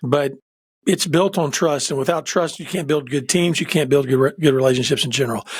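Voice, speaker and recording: A man with a somewhat breathy voice uses ordinary pitch variation and talks at a fairly quick pace. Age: 60s. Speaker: executive coach and pastor. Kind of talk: casual chat. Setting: podcast interview. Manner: animated.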